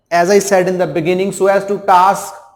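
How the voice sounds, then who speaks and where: A man with a Punjabi accent speaks in a high pitch. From India, Punjab. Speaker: English teacher. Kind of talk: lecture. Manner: halting.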